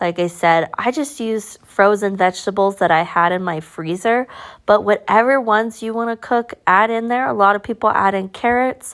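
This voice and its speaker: A woman with an American accent and medium pitch, at a moderate pace with ordinary pitch variation, against a quiet background. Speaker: cooking vlogger. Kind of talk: cooking tutorial. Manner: casual, conversational.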